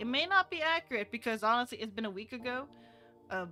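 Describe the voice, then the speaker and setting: A woman talks with a fairly high pitch. Music can be heard behind her. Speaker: VTuber streamer. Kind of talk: casual chat.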